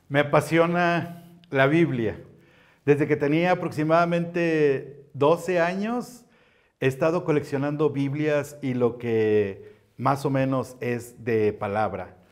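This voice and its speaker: Against a quiet background, a man talks at a very slow pace with lively intonation. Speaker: Bible collector and ministry teacher; ministry teacher. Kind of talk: show-and-tell presentation. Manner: animated. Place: studio. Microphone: lapel.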